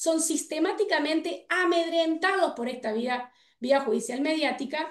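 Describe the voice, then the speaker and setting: With lively intonation, a woman talks in an extremely high voice. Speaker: political scientist and researcher. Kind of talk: panel debate. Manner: fast.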